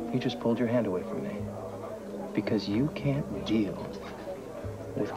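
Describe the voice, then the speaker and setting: Moderate-paced speech from a man, clear music playing behind. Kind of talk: scripted drama dialogue. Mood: intimate, pleading, insistent. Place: bar.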